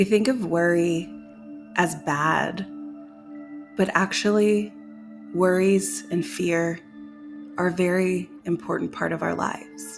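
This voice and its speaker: A woman speaks at a very slow pace with long, frequent pauses while music plays in the background. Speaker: guided meditation leader. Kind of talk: guided meditation.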